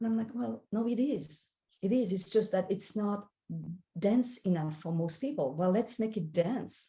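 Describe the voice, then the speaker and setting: A woman with a French accent speaks at a medium pitch and moderate pace, somewhat breathy, with lively intonation. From France. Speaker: spiritual guide and life coach. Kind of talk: interview.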